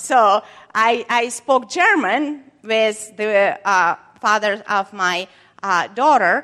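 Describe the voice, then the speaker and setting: A woman's fairly high, bright and sharp voice, very slow, with lively intonation. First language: not English. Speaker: preacher. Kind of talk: sermon. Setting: church. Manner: halting.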